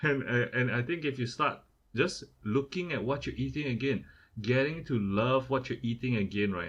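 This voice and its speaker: This man speaks with a Singaporean accent. His pitch sits in the medium range. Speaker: podcast co-host. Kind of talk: casual chat. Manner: repetitive, stammering restarts.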